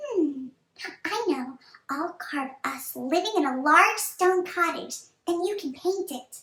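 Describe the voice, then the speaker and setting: Using a put-on character voice, a female-sounding speaker squeaks at an extremely high pitch and a fairly slow pace. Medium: read story.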